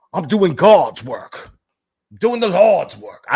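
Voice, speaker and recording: In a put-on character voice with a Savannah accent, a man speaks very slowly, high-pitched and raspy. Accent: Savannah Southern. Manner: slow drawl, pious.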